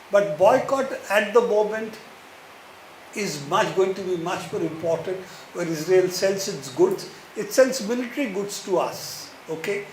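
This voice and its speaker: Amid noticeable background noise and audible room echo, a man speaks at a fairly slow pace in a high pitch with ordinary pitch variation. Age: 70s. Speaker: speaker at a book talk. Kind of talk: Q&A answer at a public talk. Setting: bookstore event with audience.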